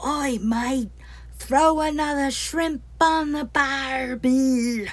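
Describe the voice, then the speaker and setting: Shouting loudly at a very slow pace, a put-on character voice speaks in a New Zealand accent. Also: female-sounding voice, high pitch for a woman. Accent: broad Kiwi bogan. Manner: shouted, loud.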